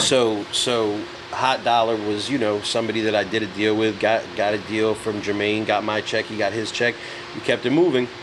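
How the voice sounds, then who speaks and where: Against noticeable background noise, a man with a New York accent speaks at a moderate pace and a fairly low pitch. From New York City. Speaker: music entrepreneur. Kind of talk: casual chat. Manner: animated.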